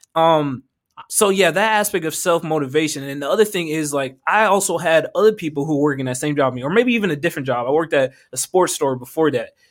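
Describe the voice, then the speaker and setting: On a very clean recording with a silent background, a man speaks at a fairly high pitch. His pace is very fast. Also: ordinary pitch variation. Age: young. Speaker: podcast host and entrepreneur. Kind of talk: casual chat. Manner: animated.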